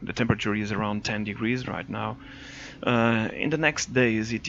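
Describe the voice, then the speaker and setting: With a Portuguese accent, a man speaks at a moderate pace. His pitch is fairly low, with ordinary pitch variation. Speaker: motorcycle vlogger. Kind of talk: voice-over narration. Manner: halting, many fillers.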